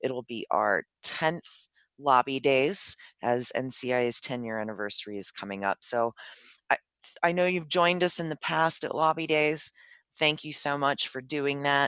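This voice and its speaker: At a fairly slow pace, a woman speaks with lively intonation and a very deep, low pitch. The sound is dry and close, with no echo. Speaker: podcast host. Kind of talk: interview.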